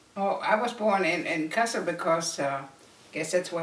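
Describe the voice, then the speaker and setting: With lively intonation and a moderate pace, a woman talks over noticeable background noise and audible room echo. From Germany. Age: 70s. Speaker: family elder telling life story. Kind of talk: oral history interview.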